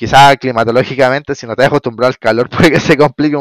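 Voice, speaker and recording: A man speaks with fairly even intonation. The sound is dry and close, without echo. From Chile. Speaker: electrician. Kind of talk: casual interview. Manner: halting, many repetitions.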